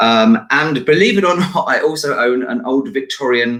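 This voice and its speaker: A man's medium-pitched voice with an English accent, at a fairly slow pace. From UK. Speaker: entrepreneur and talent agent. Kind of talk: interview. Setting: live stream.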